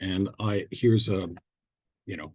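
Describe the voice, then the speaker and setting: A man's somewhat breathy voice with a dark, mellow tone, at a moderate pace against a quiet background. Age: 70s. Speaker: psychotherapist presenter. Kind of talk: webinar lecture. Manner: halting, many fillers and repetitions.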